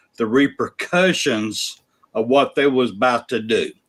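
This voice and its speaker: A man with an Alabama accent, fairly high in pitch, with ordinary pitch variation. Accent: US Southern (Alabama). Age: 60s. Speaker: sports podcast host. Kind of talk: casual chat. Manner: animated.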